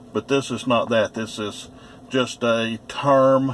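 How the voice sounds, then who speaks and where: Fairly even in intonation, a man speaks at a medium pitch. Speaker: first amendment auditor vlogger. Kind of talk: casual monologue to camera. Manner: slow.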